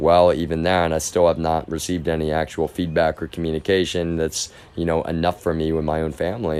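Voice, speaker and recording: A man's very deep, low voice with a slight Texas accent. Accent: slight Texas drawl. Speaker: live streamer. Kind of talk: casual monologue. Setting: live stream. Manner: halting, repetitive.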